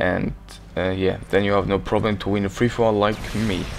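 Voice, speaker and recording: A man speaks in a fairly low pitch with fairly even intonation. Music plays in the background. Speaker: gaming commentator. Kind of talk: gameplay commentary. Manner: casual, hesitant.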